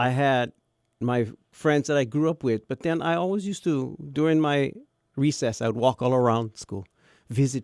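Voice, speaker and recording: A man talks at a moderate pace with lively intonation in a Hawaiian accent. The recording is very clean, with a silent background. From Hawaii, Kauai. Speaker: radio broadcaster. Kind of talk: casual chat.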